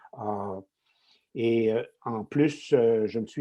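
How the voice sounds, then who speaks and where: The voice belongs to a man. There is ordinary variation in his pitch. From Quebec. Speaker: retired tech executive and lecturer. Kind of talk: podcast interview.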